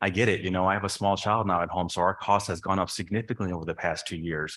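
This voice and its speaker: Someone speaks at a very fast pace with fairly even intonation in a very clean recording with a silent background. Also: man. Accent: Chicago-area. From northern Illinois, Chicago suburbs. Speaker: board of trustees candidate. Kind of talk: candidate forum answer.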